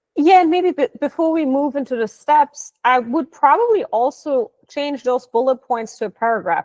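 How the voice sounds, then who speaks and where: A woman speaks with a non-native accent and very wide pitch swings. The sound is dry and close, with no echo. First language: not English. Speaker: digital marketing trainer. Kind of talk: live training session.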